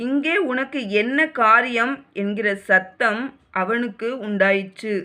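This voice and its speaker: A woman's fairly high voice, bright and sharp in tone, stays calm with ordinary pitch variation. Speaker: Bible reader. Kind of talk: reading aloud. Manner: emotional.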